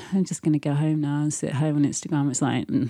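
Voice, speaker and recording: The speech moves at a very fast pace against a quiet background. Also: woman. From Birmingham, England. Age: 30s. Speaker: fashion director and teacher. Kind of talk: casual interview. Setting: her apartment.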